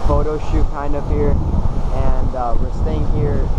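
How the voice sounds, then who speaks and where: Loud noise fills the background. Through it, a man talks. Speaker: vlogger. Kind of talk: casual vlog chat. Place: beach. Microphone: phone near.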